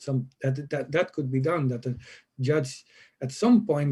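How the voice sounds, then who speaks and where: Somewhat breathy and dark, mellow in tone, a man speaks at a medium pitch with a non-native accent. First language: not English. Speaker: professor, conference speaker. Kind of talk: conference Q&A. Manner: halting.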